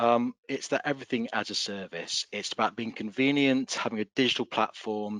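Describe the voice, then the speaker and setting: A man speaks with an English accent at a medium pitch, with ordinary pitch variation and a dry, close sound with no echo. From England. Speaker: solutions consultant. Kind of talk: webinar presentation.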